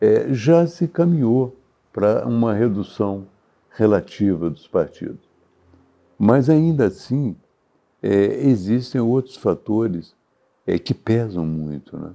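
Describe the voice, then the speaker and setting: A man with a dark, mellow tone and medium pitch speaks very slowly, his pitch swinging very widely between long, frequent pauses. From Brazil, Minas Gerais (Juiz de Fora). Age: 80s+. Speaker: journalist and former politician. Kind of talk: interview answer.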